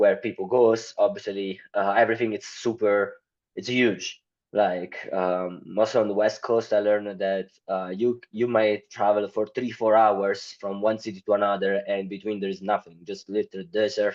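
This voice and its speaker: The speaker has an Italian accent and a moderate pace. The intonation is monotone and flat. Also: man, fairly low pitch for a man, quiet background. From Italy. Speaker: marketing company founder. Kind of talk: podcast interview. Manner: halting, many fillers.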